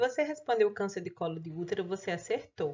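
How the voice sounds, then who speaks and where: Speaking at a medium pitch, the woman keeps a moderate pace. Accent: northeastern Brazilian. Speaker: pathology teacher. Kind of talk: lecture.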